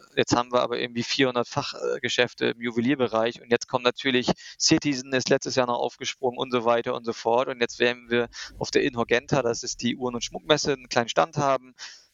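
A man speaks at a very fast pace and medium pitch. His intonation is monotone and flat. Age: 40s. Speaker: startup founder. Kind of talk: casual interview.

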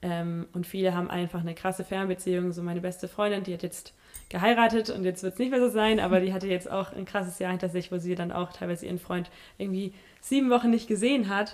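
A woman with a medium-pitched voice talks at a very fast pace, her intonation fairly even. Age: 20s. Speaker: Bible school student. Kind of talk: casual interview chat. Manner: hesitant, many fillers.

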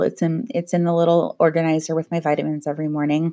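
The voice here is a woman's. It sits very deep and low in pitch. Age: 30s. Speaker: podcast host. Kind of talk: casual solo monologue. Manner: hesitant, frequent ums.

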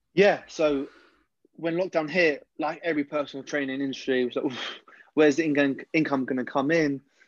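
A man with a London accent speaks at a fairly high pitch with fairly even intonation. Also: moderate pace. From West London. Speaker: personal trainer and ex-footballer. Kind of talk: casual interview.

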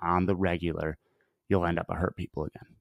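Very fast and flat in monotone, a man's very deep, low voice comes through a very clean recording with a silent background and a dry, close sound with no echo. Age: 30s. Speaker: online fitness coach. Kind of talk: interview.

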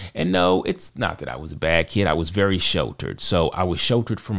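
A man with a very deep, low pitch and vocal fry talks at a fairly quick pace with ordinary pitch variation. The recording is very clean with a silent background. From US South, Charlotte, North Carolina. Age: 40s. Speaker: podcast co-host, IT worker and father. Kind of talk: casual interview, personal testimony. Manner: halting, many repetitions.

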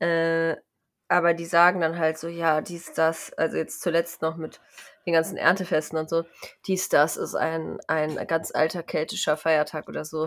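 Her voice is fairly low for a woman, delivered at a moderate pace in a flat, monotone way. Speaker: podcast co-host. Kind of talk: casual chat.

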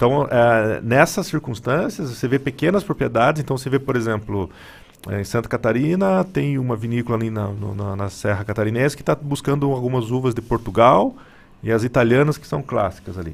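Here a man talks in an ordinary speaking voice. His pitch is medium, and his pace is fairly quick. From Paraná, Brazil. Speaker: wine businessman. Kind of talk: radio interview.

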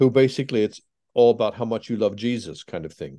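With an American accent, a man talks in a dark, mellow tone and fairly even intonation. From Pennsylvania, US. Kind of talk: casual interview.

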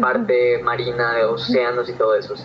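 Noticeable background noise is audible. A man speaks moderately fast over it. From Yucatán, Mexico. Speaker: marine biology student, science communicator. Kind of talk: casual chat.

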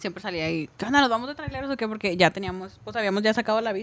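A woman with an unremarkable speaking voice talks at a medium pitch with lively intonation. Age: 20s. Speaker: truck driver. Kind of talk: casual chat.

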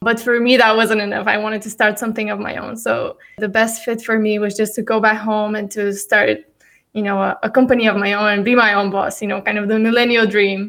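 Speaking fairly quickly with a Bulgarian accent, a woman holds a fairly high pitch in a monotone, flat intonation. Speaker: startup CEO. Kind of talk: casual interview.

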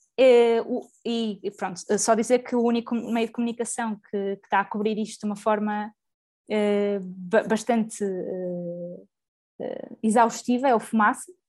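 Speaking at a fairly slow pace, a woman keeps her fairly high voice in fairly even intonation. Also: long, frequent pauses. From Portugal, Porto. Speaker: podcast co-host. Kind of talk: casual discussion of current affairs.

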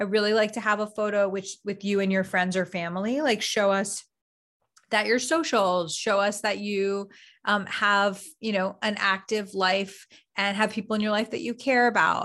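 A woman speaks in a normal speaking voice at a moderate pace, her pitch medium. Her intonation is fairly even, over a quiet background. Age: 30s. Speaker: behavioral scientist and dating coach. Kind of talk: casual interview.

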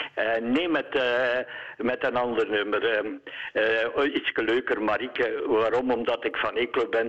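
A man at a very slow pace, his loudness very even. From Eeklo, East Flanders, Belgium. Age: 70s. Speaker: radio caller. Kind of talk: radio interview. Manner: halting.

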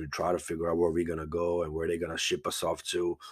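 A man's very deep, low voice at a fairly quick pace, in a very clean recording with a silent background. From Bosnia, moved to Texas as a child. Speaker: podcast host. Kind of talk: personal monologue. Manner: halting, many fillers.

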